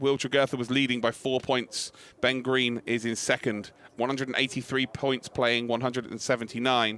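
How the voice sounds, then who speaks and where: In a British accent, a man talks at a fairly quick pace with a medium pitch and a bright, sharp tone. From UK. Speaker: motorsport commentator. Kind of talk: live commentary. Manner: animated; fast.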